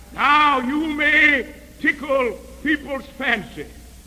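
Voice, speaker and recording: A man's raised, projected voice, extremely high in pitch, with fairly even intonation over noticeable background noise. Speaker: preacher. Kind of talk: sermon.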